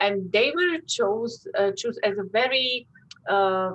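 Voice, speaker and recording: A woman with a Slovak accent speaks at a fairly high pitch. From Slovakia. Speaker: workshop leader on war history. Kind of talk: educational talk to children. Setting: classroom workshop, also on zoom. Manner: halting, many fillers.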